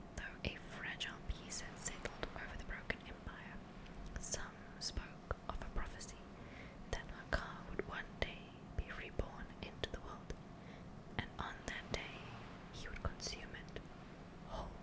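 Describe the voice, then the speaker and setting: Amid loud background noise, a woman talks at a fairly slow pace with long, frequent pauses. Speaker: ASMR gaming streamer. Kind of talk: ASMR lore book reading, storytelling narration. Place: home room. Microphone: studio mic.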